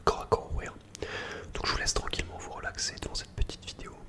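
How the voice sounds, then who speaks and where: Whispering amid noticeable background noise. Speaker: gaming streamer. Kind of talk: whispered gameplay commentary. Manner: whispered.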